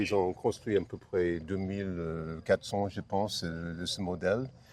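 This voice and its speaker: A man with an American accent, moderate pace and ordinary pitch variation over a quiet background. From United States. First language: English (speaking French). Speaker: classic car owner. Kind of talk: interview. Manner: halting, many hesitations and repetitions.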